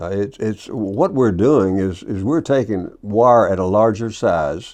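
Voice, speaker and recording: Speaking with a Kentucky accent, a man uses a medium-pitched voice and lively intonation. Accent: Southern US (Kentucky). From Kentucky, US South. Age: 80s+. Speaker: business owner, wire manufacturer. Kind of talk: interview. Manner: halting, many fillers and repeats.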